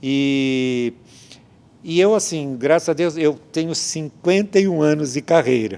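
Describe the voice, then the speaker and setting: Here a man speaks at a very slow pace. His pitch is fairly high, with ordinary variation. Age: 70s. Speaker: theatre director and playwright. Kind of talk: interview. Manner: hesitant, many fillers.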